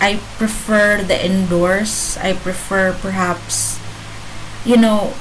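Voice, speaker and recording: Against noticeable background noise and audible room echo, a woman with a non-native accent speaks in a monotone, flat intonation. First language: not English. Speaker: vlogger. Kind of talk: casual monologue vlog. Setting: home, laptop camera. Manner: halting, many fillers. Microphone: laptop, bad quality.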